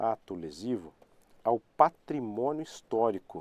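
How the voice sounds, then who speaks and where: In a dry, close sound with no echo, a man speaks in a medium pitch with lively intonation. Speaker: law professor. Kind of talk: live online lecture. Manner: repetitive, conversational.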